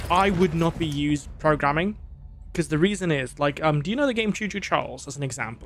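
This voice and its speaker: With music in the background, a man speaks at a fairly quick pace in a fairly high pitch with ordinary pitch variation. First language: not English. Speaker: gaming streamer and game programmer. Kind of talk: live gameplay stream chat. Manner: hesitant, many fillers.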